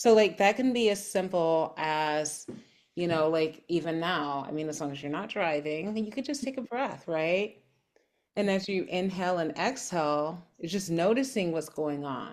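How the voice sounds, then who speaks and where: Over a silent background on a very clean recording, a woman with a fairly low pitch speaks at a moderate pace in a calm tone with lively intonation. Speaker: holistic health practitioner and podcast co-host. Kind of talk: casual conversation.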